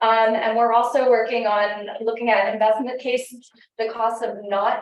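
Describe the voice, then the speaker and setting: Against audible room echo, a woman talks at a moderate pace in a fairly high pitch. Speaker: NGO policy advocate. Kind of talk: panel discussion. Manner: halting, many fillers.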